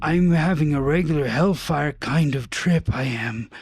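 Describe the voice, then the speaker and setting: In a put-on character voice, a man talks at a moderate pace with a fairly high pitch, sounding raspy and wheezy over light background noise. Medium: read story.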